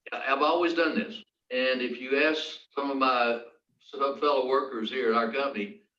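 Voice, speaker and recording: A man at a moderate pace, with audible room echo. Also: medium pitch for a man, ordinary pitch variation. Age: 80s+. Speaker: engineering firm founder. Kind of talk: panel discussion.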